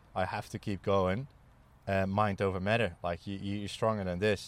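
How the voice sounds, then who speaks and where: A man with a Dutch accent talks at a moderate pace in a monotone, flat intonation. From Netherlands. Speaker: ex-military charity walker. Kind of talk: casual interview chat. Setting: outdoors at a campsite. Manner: halting, many fillers and repeats.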